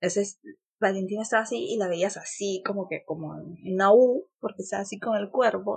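This woman's voice is somewhat breathy and sits at a medium pitch. She talks at a moderate pace with ordinary pitch variation. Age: 30s. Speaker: lawyer and blogger mother. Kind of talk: casual interview.

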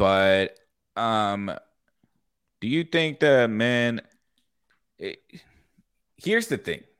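A man's medium-pitched voice with lively intonation, very slow with long, frequent pauses, on a very clean recording with a silent background. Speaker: podcast host. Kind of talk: casual chat.

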